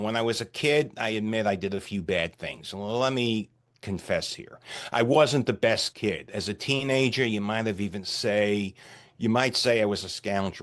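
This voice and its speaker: Against a quiet background, a normal speaking voice moves at a moderate pace with ordinary pitch variation. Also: man, fairly low pitch for a man. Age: 60s. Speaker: retired CEO and ordained minister. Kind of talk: podcast interview.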